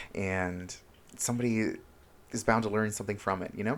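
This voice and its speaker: A fairly quick, fairly low-pitched man with a Spanish accent, on a very clean recording with a silent background. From Honduras, moved to US at age seven. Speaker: self-help vlogger. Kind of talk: casual vlog monologue. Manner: animated, expressive.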